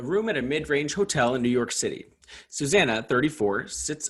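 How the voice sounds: A natural reading voice carries lively, bouncy intonation.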